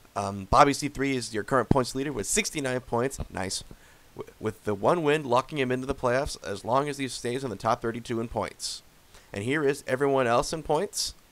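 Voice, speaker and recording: There is noticeable background noise in this clip. A man with medium pitch speaks with ordinary pitch variation. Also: moderate pace. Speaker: sim racing commentator. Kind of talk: race results recap.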